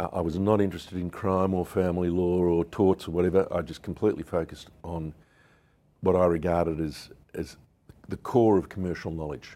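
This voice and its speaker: In an Australian accent, a man with a very deep, low pitch speaks at a fairly quick pace, his dark, mellow tone held to fairly even intonation. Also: very clean recording, silent background. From Melbourne, Australia. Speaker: businessman. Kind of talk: interview. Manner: hesitant, many fillers.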